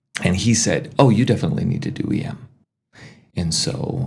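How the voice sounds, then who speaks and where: A man's voice swings very widely in pitch, with an audible echo from the room. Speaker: emergency physician. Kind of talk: casual chat.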